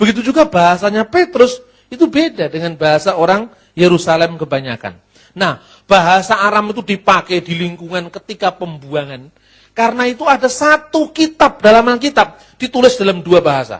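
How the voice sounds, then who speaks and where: This man has a high pitch and very wide pitch swings. He talks at a fairly quick pace. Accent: Javanese. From Java, Indonesia. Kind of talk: lecture. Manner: conversational, with rhetorical questions.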